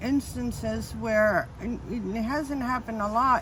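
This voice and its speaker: Her voice sits fairly high in pitch. This woman sounds somewhat breathy. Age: 60s. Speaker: full-time nomad living in her car. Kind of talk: interview answer.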